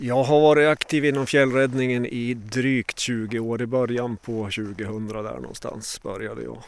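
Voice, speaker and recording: In an unremarkable speaking voice, a man of medium pitch talks at a moderate pace with fairly even intonation and big swings in loudness. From Sweden, Åre, Jämtland. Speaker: paramedic and mountain rescuer. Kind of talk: interview.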